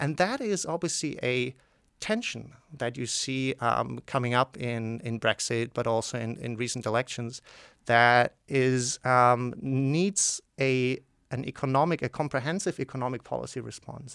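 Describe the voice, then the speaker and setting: In a German accent, a man talks at a fairly slow pace with a medium pitch and ordinary pitch variation. The recording is very clean with a silent background, and the sound is dry and close with no echo. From southwestern Germany, near Basel. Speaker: economics professor. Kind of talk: interview. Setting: studio.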